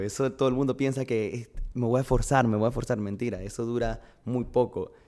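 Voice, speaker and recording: On a very clean recording with a silent background, a man with a normal speaking voice talks at a fairly quick pace, medium in pitch, with fairly even intonation. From Venezuela, Barquisimeto (Lara). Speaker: fitness coach. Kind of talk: casual interview.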